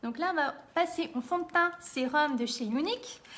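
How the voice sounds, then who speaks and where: A woman speaks with a bright, sharp tone. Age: 30s. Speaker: makeup seller and tutorial host. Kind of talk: live-stream makeup tutorial. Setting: live video stream. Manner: chatty, informal.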